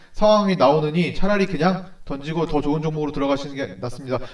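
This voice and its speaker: Background noise is noticeable throughout. Over it, a man talks. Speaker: stock market analyst. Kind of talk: stock consultation video. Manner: fast.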